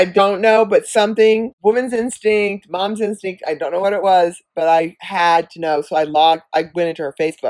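A woman speaks in a normal speaking voice at a medium pitch. She keeps a moderate pace with ordinary pitch variation and hardly any pauses. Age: 60s. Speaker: podcast co-host, mother. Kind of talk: casual chat.

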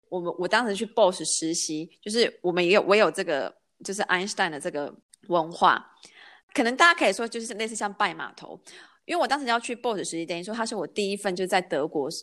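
On a very clean recording with a silent background, a normal speaking voice carries lively intonation and big swings in loudness. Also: woman, medium pitch for a woman, fairly quick pace. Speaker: podcast host. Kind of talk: casual chat.

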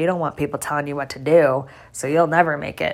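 Very fast and animated, a woman talks in a very deep, low pitch. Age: 30s. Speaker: podcast host. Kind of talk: personal monologue.

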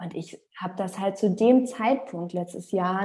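A woman's somewhat breathy voice unfolds at a fairly slow pace. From Rostock, northern Germany. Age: 30s. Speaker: singer and former talent show finalist. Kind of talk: interview. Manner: hesitant with fillers.

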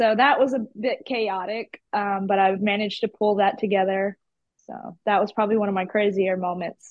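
Moderately paced speech from a woman with a Southern US accent. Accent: Southern US, country. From Georgia, US South. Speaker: artist. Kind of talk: casual podcast interview. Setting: video call.

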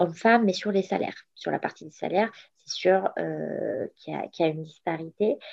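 Fairly low tones from a woman, delivered at a fairly slow pace. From Morocco. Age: 30s. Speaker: entrepreneur. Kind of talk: interview. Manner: halting.

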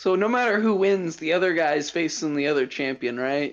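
A man with high pitch and ordinary pitch variation, music in the background. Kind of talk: casual watch-along chat. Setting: remote, on phone, far from mic. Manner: animated, profane, quick reactions.

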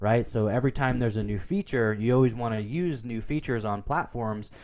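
In a very clean recording with a silent background, a man speaks with a Pacific Northwest accent and ordinary pitch variation. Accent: American, Pacific Northwest. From US Pacific Northwest, Portland, Oregon. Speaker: business consultant and entrepreneur. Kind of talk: interview.

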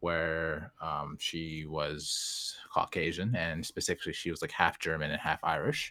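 On a very clean recording with a silent background, a man speaks at a fairly slow pace with a bright, sharp tone and fairly even intonation. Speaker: podcast host. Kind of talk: casual interview chat.

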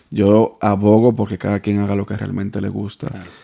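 Fairly quick, fairly low male voice with a dark, mellow tone over a quiet background. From Dominican Republic. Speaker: podcast host. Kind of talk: casual interview.

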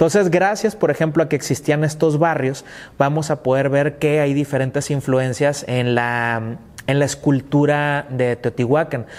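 This man has an ordinary speaking voice with a fairly high pitch. He talks at a fairly slow pace with fairly even intonation and very even loudness. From northern Mexico, Tecate, Baja California. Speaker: history teacher / podcaster. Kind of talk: educational lecture. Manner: informal, filler-heavy (eh, este, pues).

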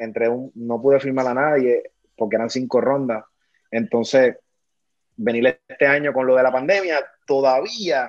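With a Puerto Rican accent, the speaker talks at a moderate pace with ordinary pitch variation against a quiet background. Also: man. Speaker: former pro baseball player. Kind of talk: casual interview.

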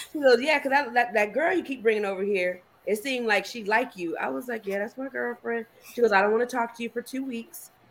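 Here is a woman with an ordinary speaking voice. She speaks at a fairly quick pace with lively intonation. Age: 40s. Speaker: podcast guest. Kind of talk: casual chat.

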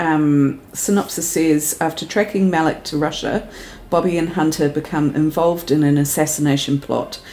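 Speaking in a New Zealand accent, a woman has a very deep, low voice and fairly even intonation. Her pace is moderate, and there is noticeable background noise. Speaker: podcast co-host. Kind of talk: casual chat.

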